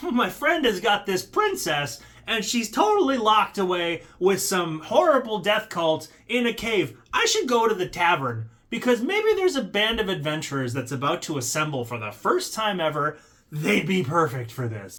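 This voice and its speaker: At a moderate pace, a man performs a put-on character voice with a high pitch. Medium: solo performance.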